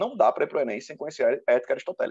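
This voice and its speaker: Heard in a dry, close sound with no echo, a man speaks. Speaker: teacher. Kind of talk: lecture. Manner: fast.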